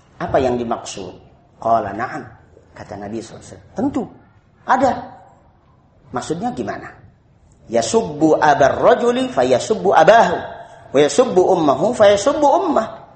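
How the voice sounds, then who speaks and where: A man speaks fairly slowly in a high voice with very wide pitch swings and long, frequent pauses. Room echo can be heard around him. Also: big swings in loudness. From Indonesia. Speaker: Islamic preacher. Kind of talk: religious study lecture. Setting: evening study gathering.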